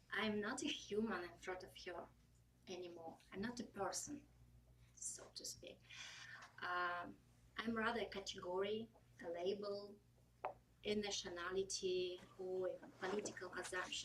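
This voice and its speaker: A woman speaks with a Russian accent. Her pauses are long and frequent. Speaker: public speaking club member. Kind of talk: prepared speech.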